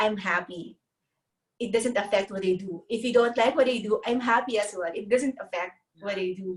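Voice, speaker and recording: A woman with a non-native accent, fairly high pitch, ordinary pitch variation and a moderate pace. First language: not English. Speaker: carnivore diet youtuber. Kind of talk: casual interview chat. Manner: halting, translating thoughts while speaking.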